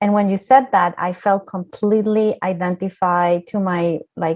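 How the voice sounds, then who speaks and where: Fairly even intonation in a Spanish accent. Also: woman. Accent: Spanish accent, still noticeable. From Colombia. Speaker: architect, professional association leader. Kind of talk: panel discussion, personal testimony.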